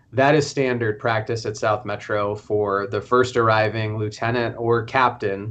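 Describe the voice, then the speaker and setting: Monotone and flat in intonation, this man speaks with a fairly low pitch. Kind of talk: interview answer. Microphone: video call.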